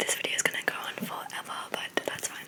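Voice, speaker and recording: A woman whispers at a fairly slow pace over noticeable background noise. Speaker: ASMR creator. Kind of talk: casual ASMR Q&A ramble. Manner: whispered.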